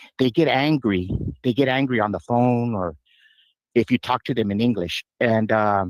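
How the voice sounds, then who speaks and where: A man with a Spanish accent at medium pitch and moderate pace, in a dry, close sound with no echo. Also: ordinary pitch variation. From Yuma, Arizona. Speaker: caller. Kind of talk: radio call-in. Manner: halting.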